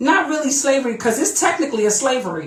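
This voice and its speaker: Over audible room echo, a woman speaks in an animated tone with lively intonation. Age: 40s. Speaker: vlogger. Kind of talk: casual monologue.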